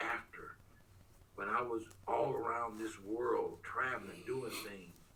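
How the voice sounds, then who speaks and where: With audible room echo around him, a man with an American accent talks at a fairly slow pace. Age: 70s. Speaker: spiritual research scholar. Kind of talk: interview conversation.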